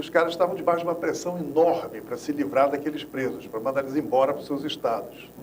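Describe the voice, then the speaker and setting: A man talks at a very fast pace with hardly any pauses, in a Rio de Janeiro accent and a fairly high pitch. His pitch varies in an ordinary way, and noticeable background noise is present. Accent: Carioca Brazilian Portuguese. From Rio de Janeiro, Brazil. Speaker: former political prisoner, agroecologist. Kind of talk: interview, personal testimony.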